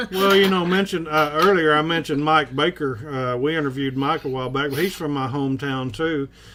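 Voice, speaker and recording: A man with an American accent, fairly high-pitched, talking at a very fast pace with hardly any pauses and ordinary pitch variation. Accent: Southern, Arkansas-like. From US South, Kennett, Missouri bootheel. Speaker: cooking show host. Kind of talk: casual chat.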